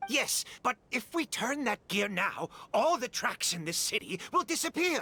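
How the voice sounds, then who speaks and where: A put-on character voice moves at a moderate pace. It sits fairly high in pitch with very wide pitch swings. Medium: video game. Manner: brusque, agitated.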